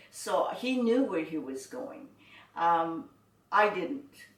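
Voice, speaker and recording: The speaker has a Canadian accent and talks at a fairly slow pace with very wide pitch swings, with audible room echo and noticeable background noise. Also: woman. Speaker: internment survivor. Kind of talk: oral history interview. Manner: halting.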